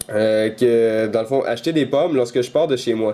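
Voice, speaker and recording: A man with a Quebec accent speaks at a medium pitch and a moderate pace, with ordinary pitch variation. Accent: Québécois French. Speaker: tech YouTuber. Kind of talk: tutorial. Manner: hesitant, many fillers.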